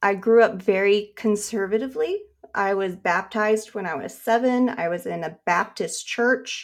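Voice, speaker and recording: On a very clean recording with a silent background, a woman with an American accent and an unremarkable speaking voice talks at a moderate pace, her fairly high pitch showing ordinary variation. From Nevada, US. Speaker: comic artist. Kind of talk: casual chat.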